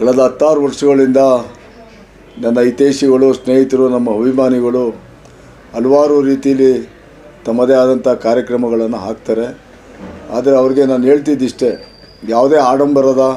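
Over noticeable background noise, a man at medium pitch talks in a monotone, flat intonation with very even loudness. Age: 60s. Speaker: local politician. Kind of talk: press statement.

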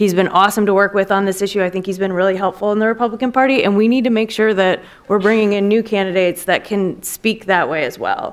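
Speaking with an American accent at a very fast pace with hardly any pauses, a woman keeps a medium pitch and fairly even intonation. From Wisconsin, US Midwest. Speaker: former congressional policy aide, lobbyist; panelist. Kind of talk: panel discussion. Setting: stage with audience. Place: hall. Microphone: podium.

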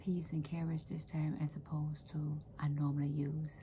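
Soft-spoken and monotone, with flat intonation, a woman with a very deep, low pitch talks over light background noise. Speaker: home vlogger. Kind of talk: casual vlog chat. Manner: soft, quiet, close-up talking. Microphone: phone near.

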